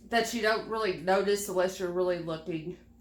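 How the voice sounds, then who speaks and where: Audible room echo around a woman's voice of medium pitch. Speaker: beauty vlogger. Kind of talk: casual product haul review. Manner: casual, chatty.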